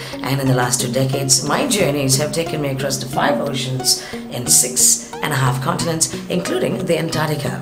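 Clear background music plays behind speech at a moderate pace with hardly any pauses. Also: woman. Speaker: radio traffic presenter; traveller and public speaker. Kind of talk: promotional invitation to camera. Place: home room. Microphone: webcam.

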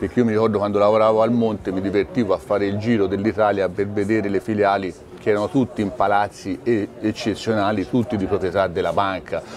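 A man talking very fast at a fairly low pitch, with fairly even intonation over light background noise. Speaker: shareholder association representative. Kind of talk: TV interview. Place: car. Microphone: phone near.

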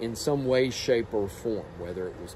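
A man speaks with ordinary pitch variation and a moderate pace while light background noise sits underneath. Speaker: teacher. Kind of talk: book talk to students. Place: garden. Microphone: phone near.

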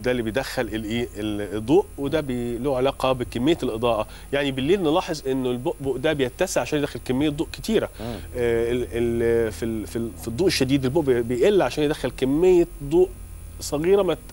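With ordinary pitch variation, a man speaks at a moderate pace against light background noise. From Egypt. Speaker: eye surgeon; guest. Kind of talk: TV interview. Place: studio. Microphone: lapel.

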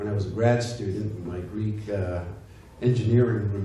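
A plain reading aloud

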